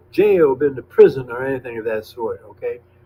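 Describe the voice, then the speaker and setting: Over noticeable background noise, a man with a high pitch talks with very wide pitch swings. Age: 80s+. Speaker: former radical activist. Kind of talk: casual interview.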